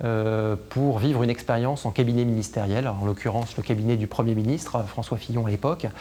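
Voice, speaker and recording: His tone is dark and mellow. The man talks at a moderate pace. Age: 30s. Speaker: senior civil servant and legal officer. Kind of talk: interview testimony about career. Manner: hesitant with frequent fillers.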